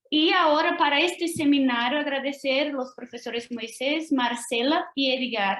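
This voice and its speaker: Speaking in a Portuguese accent, a woman with a high pitch moves at a very slow pace with ordinary pitch variation. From Brazil. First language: Portuguese (speaking Spanish). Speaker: lecturer, language teacher and doctoral student. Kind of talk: academic lecture. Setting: video call.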